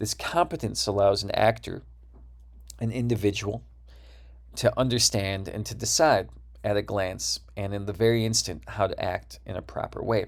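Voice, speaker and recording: With an American accent, a man speaks at a moderate pace with long, frequent pauses on a very clean recording with a silent background. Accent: Midwestern (Wisconsin), sometimes slips out. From US Midwest (Wisconsin). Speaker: university lecturer. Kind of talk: lecture.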